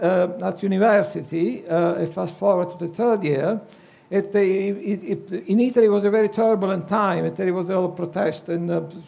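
This man speaks at a moderate pace in a high pitch with ordinary pitch variation. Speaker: conference speaker. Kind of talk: personal testimony talk. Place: hall. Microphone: headset.

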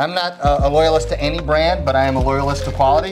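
Clear music sounds in the background. Over it, a man talks very fast. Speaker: guest. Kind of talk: tutorial. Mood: upbeat, joking. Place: kitchen. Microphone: lapel.

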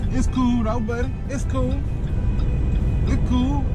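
A man at a moderate pace over loud background music. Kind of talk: casual vlog chat. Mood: relaxed, joking. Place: car. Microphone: phone near.

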